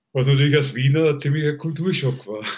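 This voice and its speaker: A man speaks in a fairly high voice that is somewhat breathy, with ordinary pitch variation. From Vienna, Austria. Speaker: concert stage manager. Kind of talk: casual interview.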